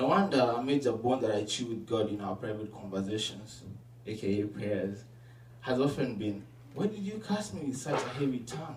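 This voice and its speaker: Speaking at a moderate pace with a non-native accent, a man with a medium pitch and ordinary pitch variation is heard over noticeable background noise and audible room echo. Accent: foreign. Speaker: student. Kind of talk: reading aloud. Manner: mumbling.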